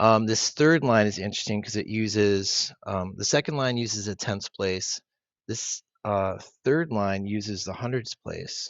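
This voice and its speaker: A man with a plain, everyday voice and a fairly low pitch, at a fairly slow pace with ordinary pitch variation. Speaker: math teacher. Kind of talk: tutorial. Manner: casual, with fillers.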